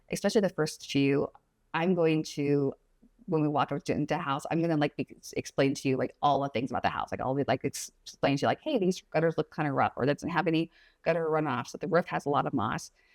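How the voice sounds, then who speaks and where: Her pitch is very deep and low for a woman, with ordinary pitch variation and an animated tone. She talks at a very fast pace, and the sound is dry and close with no echo. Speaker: real estate agent. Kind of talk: casual consultation explaining home buying.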